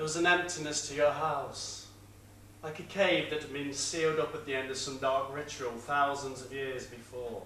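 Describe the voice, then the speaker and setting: Over noticeable background noise, a man with a fairly high pitch talks with fairly even intonation and big swings in loudness. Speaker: spoken word performer. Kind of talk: theatrical monologue performance. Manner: slow, sombre.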